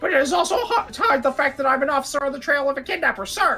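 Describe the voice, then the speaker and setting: In a put-on character voice, the speaker rattles along at a very fast pace with a high pitch. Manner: earnest, eager.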